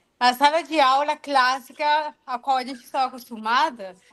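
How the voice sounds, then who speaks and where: A woman's high-pitched voice with a non-native accent. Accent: foreign accent in Portuguese. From foreign country. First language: not Portuguese (speaking Portuguese). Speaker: computer science professor. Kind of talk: online seminar discussion.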